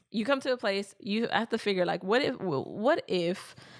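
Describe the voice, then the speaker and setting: A woman speaks at a fairly quick pace. Her pitch is medium, with ordinary variation. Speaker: podcast co-host. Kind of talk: casual chat. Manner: fast; rambling, halting.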